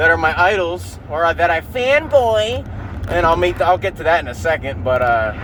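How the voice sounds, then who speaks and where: This man keeps a moderate pace while noticeable background noise sounds behind him. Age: 30s. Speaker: podcast host, aspiring comedian. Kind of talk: casual rant podcast. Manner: halting, many fillers and false starts.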